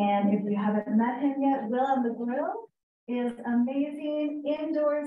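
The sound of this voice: A woman with a raspy, fairly high voice speaks at a moderate pace with fairly even intonation, and the room echo is audible.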